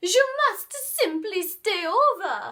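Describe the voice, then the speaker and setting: Using a put-on character voice, a woman talks. Her pitch is extremely high. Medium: read story. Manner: smooth, sweet-talking.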